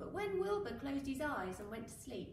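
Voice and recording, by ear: A woman speaks at a high pitch with big pitch swings. Strong room echo fills the recording. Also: moderate pace.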